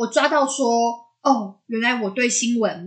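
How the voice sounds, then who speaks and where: A woman with a Taiwanese accent and a fairly high pitch. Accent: Taiwanese Mandarin. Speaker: podcast co-host. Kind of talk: casual chat.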